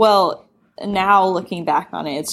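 Here is a woman with an ordinary speaking voice at medium pitch. She speaks at a fairly slow pace with ordinary pitch variation. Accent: American. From US South, Knoxville, Tennessee. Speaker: sex education app founder. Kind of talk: podcast interview. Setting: remote call.

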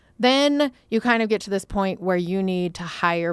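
A woman speaks with lively intonation in an ordinary speaking voice. The sound is dry and close, with no echo. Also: very clean recording, silent background. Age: 40s. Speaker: entrepreneur, company founder and CEO. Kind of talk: casual chat.

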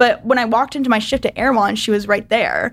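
On a very clean recording with a silent background, a voice with an American accent moves at a fairly quick pace in a monotone, flat intonation. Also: woman. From US South. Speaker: video editor. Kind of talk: casual chat.

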